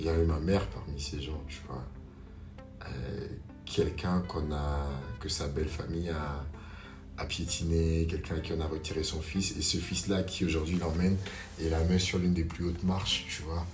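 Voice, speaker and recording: With music in the background, a man with a very deep, low pitch speaks at a fairly slow pace, his fairly even intonation broken by long, frequent pauses. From Gabon (Libreville). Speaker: actor, slam poet, voice-over artist. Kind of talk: podcast interview answer. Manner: hesitant, conversational.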